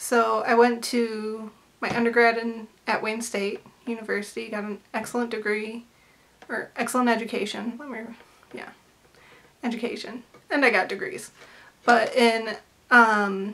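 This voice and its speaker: Amid noticeable background noise, a woman with an American accent and fairly high pitch talks at a moderate pace in monotone, flat intonation, leaving long, frequent pauses. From US Midwest, Metro Detroit. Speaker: artist and vlogger. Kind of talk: casual vlog chat. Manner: rambling, with many fillers and tangents.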